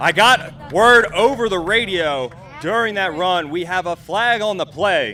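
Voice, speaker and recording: Over noticeable background noise, a man uses a raised, projected voice that is high-pitched, with ordinary pitch variation. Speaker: drifting commentator. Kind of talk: live commentary. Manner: animated; fast.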